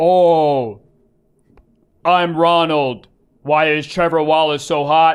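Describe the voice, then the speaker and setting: The put-on character voice sits at a middle pitch and moves at a very slow pace with long, frequent pauses. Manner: eerie, possessed.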